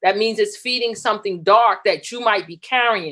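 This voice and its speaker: In a normal speaking voice, a woman talks at a moderate pace. Her pitch is fairly high, with ordinary pitch variation. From New York, the Bronx. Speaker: talk show co-host. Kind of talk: inspirational talk show discussion.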